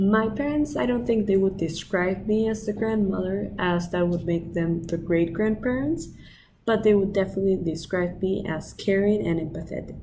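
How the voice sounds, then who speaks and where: Over audible room echo, a woman at a medium pitch speaks at a moderate pace with lively intonation, a dark, mellow tone and a somewhat breathy sound. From Peru, Lima. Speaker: student. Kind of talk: application video monologue. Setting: outdoors by the ocean.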